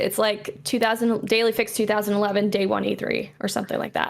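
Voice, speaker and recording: A woman talks at a fairly quick pace, her voice edged with vocal fry. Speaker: video game show host and actress. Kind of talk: casual interview chat.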